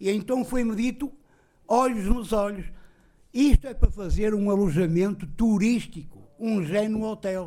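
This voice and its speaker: Speaking at a fairly slow pace, a man has a high-pitched voice with a dark, mellow tone. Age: 60s. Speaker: tenant facing eviction. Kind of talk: testimony. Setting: public meeting with audience. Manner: animated.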